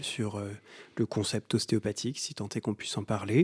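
A man's fairly low voice in a monotone, flat delivery, on a very clean recording with a silent background. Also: dry, close sound with no echo. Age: 30s. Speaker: osteopath and legal scholar. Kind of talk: interview. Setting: in person at host's home.

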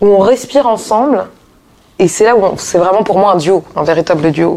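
With a dark, mellow tone, a woman talks at a fairly quick pace using lively intonation. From Paris, France. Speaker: jazz singer. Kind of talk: interview. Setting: hotel lounge.

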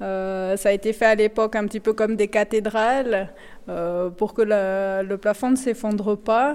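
At a very slow pace, a woman speaks in a fairly high voice. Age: 40s. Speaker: mine guide and train driver. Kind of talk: guided tour interview. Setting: salt mine, underground tunnels and train.

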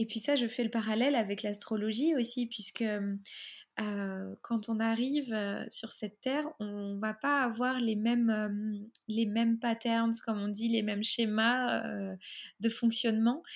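On a very clean recording with a silent background, a woman with a fairly high, somewhat breathy voice speaks at a very slow pace with fairly even intonation. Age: 30s. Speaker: photographer and astrologer. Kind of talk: interview.

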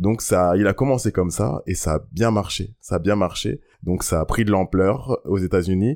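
In a normal speaking voice, a man talks at a moderate pace with very even loudness and ordinary pitch variation. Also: fairly low pitch for a man. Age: 30s. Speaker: slam poet. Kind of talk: slam performance; interview.

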